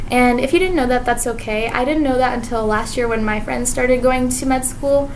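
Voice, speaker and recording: A woman with a high pitch and fairly even intonation is heard through noticeable background noise and audible room echo. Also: fairly quick pace. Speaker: medical student vlogger. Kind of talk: vlog monologue. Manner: fast; casual, filler-heavy.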